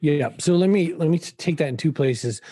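A man talks in a dark, mellow tone that is somewhat breathy. The background is quiet. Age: 50s. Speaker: author and marketing speaker. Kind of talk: interview conversation.

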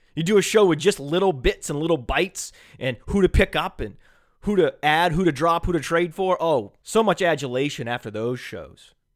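A man speaks in a high voice with an animated tone and lively intonation. The recording is very clean, with a silent background. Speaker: fantasy football radio host. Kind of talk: solo sports talk monologue. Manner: fast.

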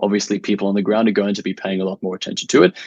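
Recorded dry and close with no echo, a man speaks in an Australian accent. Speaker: writer. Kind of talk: interview.

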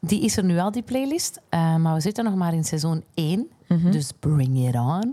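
Holding a very even loudness, a woman with a fairly low pitch and a dark, mellow tone speaks at a moderate pace with very wide pitch swings. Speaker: podcast host. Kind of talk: casual chat.

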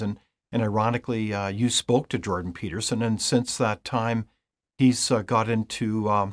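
A man speaks in an ordinary speaking voice with a Canadian accent, at medium pitch and a moderate pace. The sound is dry and close with no echo, on a very clean recording with a silent background. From Canada. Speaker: podcast host. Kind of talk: interview.

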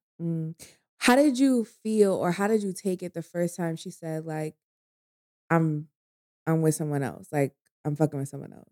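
A woman with an American accent has a dark, mellow tone, fairly low pitch and lively intonation, with big swings in loudness and long, frequent pauses. The sound is dry and close with no echo. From New York. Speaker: podcast co-host and guest. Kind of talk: casual chat. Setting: drinking together in a dim room. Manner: fast talker.

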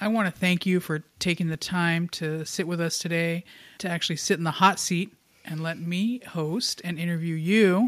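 A woman at a moderate pace with fairly even intonation and an ordinary speaking voice. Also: very clean recording, silent background. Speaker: college administrator, guest host. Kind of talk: interview.

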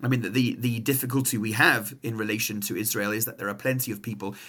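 Here a man with an English accent talks at a fairly quick pace. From England. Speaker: rabbi. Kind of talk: interview.

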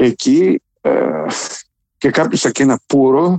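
The voice belongs to a man. It sounds dry and close-miked, with no echo at all. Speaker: writer and poet. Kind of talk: interview. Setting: phone call.

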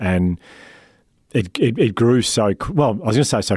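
A man speaks with an Australian accent and a dark, mellow tone. The recording is very clean, with a silent background. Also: dry, close sound with no echo. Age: 40s. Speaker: founder of a wellbeing organisation, public speaker and podcaster. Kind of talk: interview. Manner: halting.

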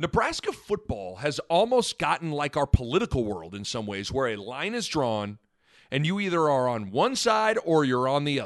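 Dry and close with no echo, this recording has a quiet background. A man with an American accent speaks at a moderate pace and fairly high pitch, with very wide pitch swings. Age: 30s. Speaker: sports podcast host. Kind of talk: solo sports talk monologue.

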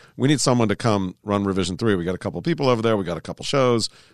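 A man's very fast, animated delivery at medium pitch, dry and close with no echo, against a quiet background. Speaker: online video event manager. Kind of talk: interview.

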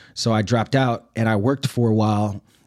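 A man speaks with an American accent at a fairly quick pace, his tone dark and mellow with ordinary pitch variation. The recording is very clean, with a silent background. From Brooklyn, New York City. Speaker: army veteran and sociology professor. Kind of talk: interview. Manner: casual.

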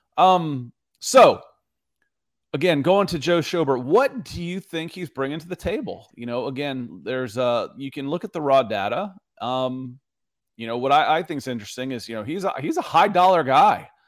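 A man with a normal speaking voice, lively intonation, a moderate pace and big swings in loudness, on a very clean recording with a silent background. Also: fairly high pitch for a man. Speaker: sports podcast host. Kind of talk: casual chat.

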